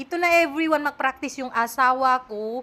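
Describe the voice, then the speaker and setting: A woman with an Indonesian accent speaks at a fairly quick pace, her high pitch carrying a bright, sharp tone. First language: Indonesian (speaking Tagalog). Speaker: vlogger. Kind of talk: casual vlog chat. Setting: at home.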